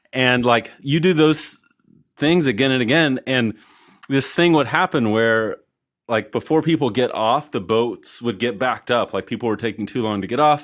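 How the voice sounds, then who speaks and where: Here a man is talking at a moderate pace. His pitch varies in an ordinary way. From Colorado. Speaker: e-commerce business owner. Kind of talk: casual interview chat. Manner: relaxed, many fillers.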